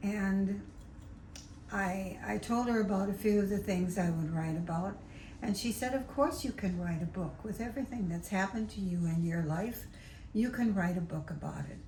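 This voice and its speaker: A woman at medium pitch and moderate pace, ordinary pitch variation, with audible room echo and noticeable background noise. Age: 80s+. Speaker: novelist. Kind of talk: interview.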